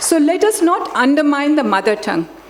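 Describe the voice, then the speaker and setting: Noticeable background noise sits under a woman talking at a moderate speed. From grew up in many countries, Indian family. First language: Telugu. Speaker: education expert, chief guest. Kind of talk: formal speech. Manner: formal.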